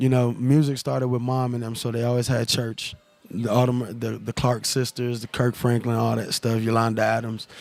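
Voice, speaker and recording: The man's intonation is monotone and flat, his pitch medium. He keeps a moderate pace over noticeable background noise. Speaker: musician and former pro football player. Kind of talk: interview. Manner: halting, many fillers.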